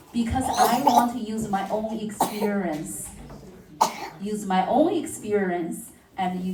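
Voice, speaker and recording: Delivered at a very slow pace, the speech carries audible room echo and noticeable background noise. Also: woman. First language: not English. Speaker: city councillor. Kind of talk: speech at community workshop.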